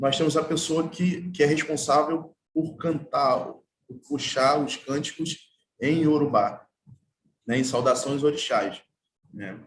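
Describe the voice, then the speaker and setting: Speaking at a very slow pace with long, frequent pauses, a man with a fairly high pitch and ordinary pitch variation sounds somewhat breathy, his loudness swinging widely. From Brazil, Baixada Fluminense, Rio de Janeiro state. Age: 30s. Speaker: artwork installer and percussionist. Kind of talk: panel talk. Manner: halting.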